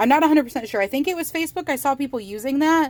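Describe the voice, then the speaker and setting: A woman with an American accent, animated and excited in tone, with ordinary pitch variation, on a very clean recording with a silent background. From Michigan, US Midwest. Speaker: crochet YouTuber. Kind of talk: casual vlog, show-and-tell haul. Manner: animated, excited.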